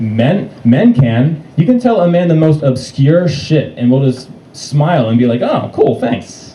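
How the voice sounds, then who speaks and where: Over noticeable background noise, a man speaks at a fairly slow pace with hardly any pauses, his fairly high voice full of lively intonation. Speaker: stand-up comedian. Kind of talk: stand-up comedy set. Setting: live comedy club. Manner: stuttering.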